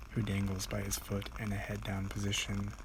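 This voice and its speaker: A soft-spoken man whispers at a moderate pace against noticeable background noise. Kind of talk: ASMR read-along of a book, relaxing sleep-aid reading. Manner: whispery, soft.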